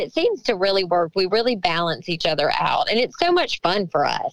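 With a Southern US accent, the speaker moves at a fairly quick pace through very wide pitch swings, in a dry, close sound with no echo. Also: woman. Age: 40s. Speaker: country singer. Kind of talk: interview.

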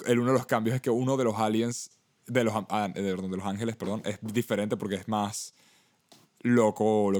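On a very clean recording with a silent background, a man with a Venezuelan accent speaks very fast in a fairly low voice with fairly even intonation. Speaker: podcast co-host. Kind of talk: casual chat.

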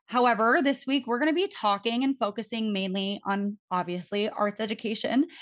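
A woman speaks with an unremarkable speaking voice, fairly high in pitch, at a fairly quick pace. Her intonation is lively over a quiet background. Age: 20s. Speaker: podcast host. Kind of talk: podcast interview.

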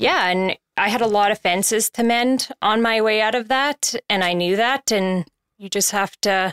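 In a very clean recording with a silent background and a dry, close sound with no echo, a woman of medium pitch uses an ordinary speaking voice, speaking at a fairly slow pace with ordinary pitch variation. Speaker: person in recovery. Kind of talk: casual chat.

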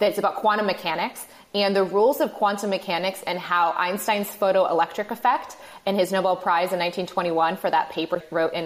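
A woman with an American accent speaks at a moderate pace in a plain, everyday voice, her pitch sitting in the medium range. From Michigan. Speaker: podcaster and entrepreneur. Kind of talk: casual interview.

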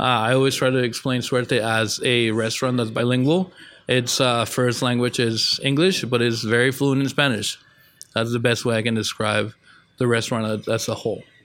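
A man speaks in an ordinary speaking voice at a moderate pace. His medium pitch keeps fairly even intonation and very even loudness. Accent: American. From northern Mexico and Texas. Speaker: chef. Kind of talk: interview. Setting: restaurant.

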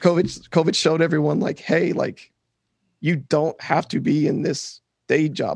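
A man's fairly high voice with vocal fry, dry and close with no echo, over a quiet background. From Louisiana (Shreveport). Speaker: crypto entrepreneur. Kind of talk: casual interview.

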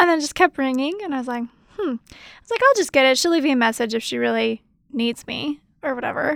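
A woman talks at a very fast pace in an animated tone, her high voice full of lively intonation, on a very clean recording with a silent background and a dry, close sound with no echo. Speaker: doula and educator, podcast co-host. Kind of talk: casual chat, anniversary episode. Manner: laughs often, animated.

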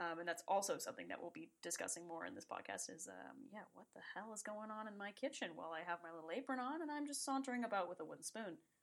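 A woman with a Canadian accent, medium-pitched with vocal fry, talking very fast with very wide pitch swings and big shifts in loudness. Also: hardly any pauses. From Toronto, Canada. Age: young. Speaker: film student, podcast co-host. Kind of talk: casual chat.

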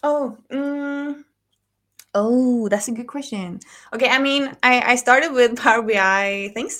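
On a very clean recording with a silent background, a woman speaks with a bright, sharp tone and a high pitch. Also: ordinary pitch variation, fairly slow pace. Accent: Norwegian. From Norway. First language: Norwegian. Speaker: data consultant. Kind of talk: casual chat.

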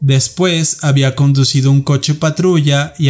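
Over music in the background, a man with a serious tone and a medium pitch speaks at a moderate pace in a monotone, flat intonation. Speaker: podcast host. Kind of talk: true-crime narration. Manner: measured, serious storytelling.

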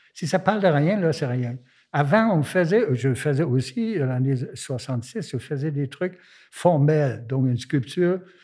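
Very slowly, a man with a German accent talks in a fairly high, somewhat breathy voice with a dark, mellow tone and lively intonation. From Germany. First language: German (speaking French). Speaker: visual artist. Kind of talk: interview.

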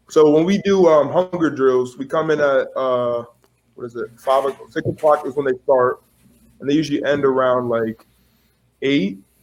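With fairly even intonation and a moderate pace, the clip presents an ordinary speaking voice. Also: man. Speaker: college football player. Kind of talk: interview.

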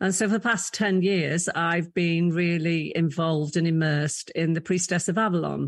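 Against a quiet background, a woman talks at a moderate pace with an English accent. Her fairly low voice keeps fairly even intonation. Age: 60s. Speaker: leadership coach and former college chief executive. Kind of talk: interview conversation.

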